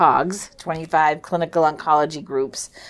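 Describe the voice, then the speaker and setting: The recording is very clean with a silent background as a woman speaks at a moderate pace, with a fairly low pitch and fairly even intonation. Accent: American. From New Hampshire, US. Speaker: nurse executive. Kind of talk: interview.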